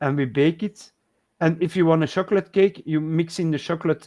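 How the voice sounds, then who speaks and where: A man with a Flemish accent speaks at a moderate pace in a high voice with a dark, mellow tone and ordinary pitch variation, recorded dry and close with no echo against a quiet background. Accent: Belgian Dutch (Flemish) accent in English. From Belgium, Dutch and French speaking. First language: Dutch (also French). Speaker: live stream co-host. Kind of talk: casual chat. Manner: halting, searching for words.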